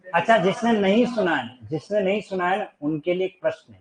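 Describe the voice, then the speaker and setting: This is a man speaking. His intonation is lively. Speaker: teacher. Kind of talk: classroom lecture. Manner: casual, chatty.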